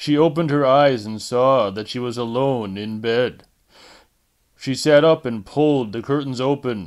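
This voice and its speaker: A man's plain, everyday voice at medium pitch, fairly slow pace and ordinary pitch variation, on a very clean recording with a silent background. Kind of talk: audiobook narration.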